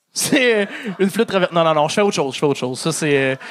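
A man with a Quebec accent, very fast and with lively intonation, over a quiet background. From Quebec, Côte-Nord. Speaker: stand-up comedian. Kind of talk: stand-up. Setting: stage with audience. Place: stage. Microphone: handheld.

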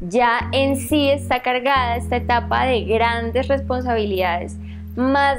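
Clear music is heard behind the voice. A woman talks very slowly. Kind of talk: interview answer. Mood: calm, earnest. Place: home room. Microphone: lapel.

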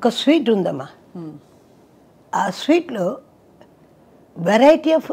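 Her voice is high for a woman, and it moves in very wide pitch swings. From Chennai, India. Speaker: playback singer. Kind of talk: interview answer. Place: home room. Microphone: lapel.

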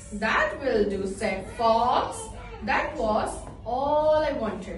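A woman speaking at a very slow pace, with audible room echo and faint music in the background. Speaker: preschool teacher. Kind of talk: storytelling read-aloud to children. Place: classroom. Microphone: phone near.

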